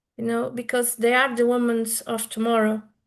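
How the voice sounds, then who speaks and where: A woman with a high pitch speaks at a moderate pace, her intonation flat and monotone. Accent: Portuguese. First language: Portuguese. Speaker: womb keeper, women's healer. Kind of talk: interview. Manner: halting.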